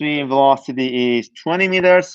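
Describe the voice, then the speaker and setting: A non-native accent with ordinary pitch variation, in a dry, close sound with no echo against a quiet background. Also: man. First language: not English. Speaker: university lecturer. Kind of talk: lecture. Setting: online class streamed live. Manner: halting, many false starts.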